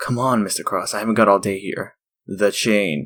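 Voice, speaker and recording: A man puts on a raspy character voice with a fairly low pitch and ordinary pitch variation. He keeps a moderate pace on a very clean recording with a silent background. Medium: fan dub. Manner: brusque, impatient.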